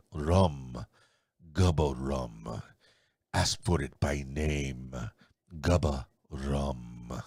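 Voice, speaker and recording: A man's put-on character voice in a Spanish accent, very deep and low in pitch, with ordinary pitch variation, a very slow pace and long, frequent pauses. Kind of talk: commercial announcer.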